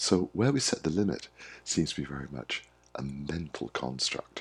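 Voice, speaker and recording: A man's very deep, low voice with vocal fry. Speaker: wellbeing coach. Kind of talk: monologue to camera. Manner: warm, friendly.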